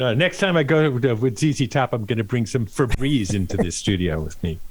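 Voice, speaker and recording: A man with a medium-pitched voice talks at a fairly quick pace, showing vocal fry and very wide pitch swings. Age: 70s. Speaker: radio DJ. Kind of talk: interview. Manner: relaxed conversational.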